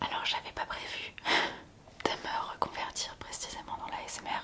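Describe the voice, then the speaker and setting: Very slow whispering from a woman, with noticeable background noise behind it. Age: 20s. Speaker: ASMR content creator. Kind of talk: ASMR talk to camera. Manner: soft-spoken, gentle.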